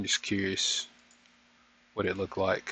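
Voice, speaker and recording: A man speaks with a bright, sharp tone at a fairly low pitch. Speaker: market trading reviewer. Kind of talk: trading session review. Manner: fast.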